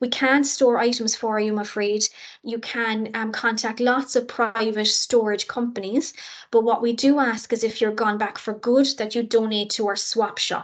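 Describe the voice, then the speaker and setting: A woman with a Cork accent talks at a moderate pace in a fairly high pitch. Her intonation is monotone and flat, and the background is quiet. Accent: Cork Irish. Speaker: university international office staff. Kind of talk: orientation presentation.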